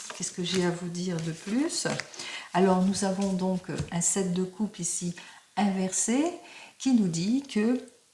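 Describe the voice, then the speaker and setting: At a very slow pace, a woman speaks in a medium pitch with ordinary pitch variation and long, frequent pauses. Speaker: tarot card reader. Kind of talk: tarot reading video.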